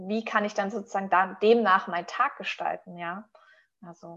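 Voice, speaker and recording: A woman speaks with medium pitch and fairly even intonation. Her tone is bright and sharp. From Stuttgart region, Swabia. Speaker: company co-founder. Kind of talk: casual chat.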